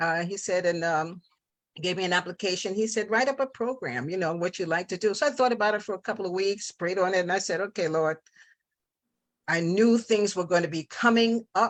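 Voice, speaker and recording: A woman with a plain, everyday voice and an American accent speaks fairly quickly at a medium pitch, with ordinary pitch variation and a quiet background. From New York. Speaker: visual artist and radio host. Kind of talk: interview. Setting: live TV talk show studio.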